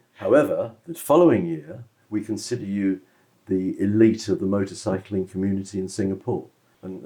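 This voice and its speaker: With a British accent, a man speaks in a fairly low pitch and a dark, mellow tone, his intonation lively. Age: 70s. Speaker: motorcycle club director and businessman. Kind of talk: interview.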